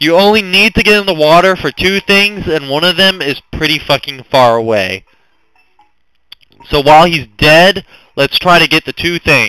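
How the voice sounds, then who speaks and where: Loud and high-pitched, a man speaks at a moderate pace with lively intonation and a bright, sharp tone, recorded dry and close with no echo. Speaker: gaming YouTuber. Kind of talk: gameplay walkthrough commentary.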